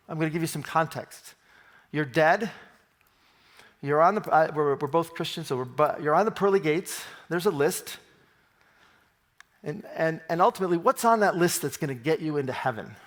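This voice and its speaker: With an American accent, a man with a fairly high pitch and ordinary pitch variation speaks at a fairly quick pace, broken by long, frequent pauses. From US Midwest, Detroit Michigan. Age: 60s. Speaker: engineer and innovation consultant. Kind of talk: conference talk. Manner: animated; fast.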